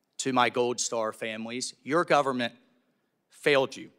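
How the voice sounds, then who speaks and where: Over a quiet background, a man talks in a bright, sharp tone with ordinary pitch variation. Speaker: congressman; witness. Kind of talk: committee questioning. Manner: heated. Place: hall. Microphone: podium.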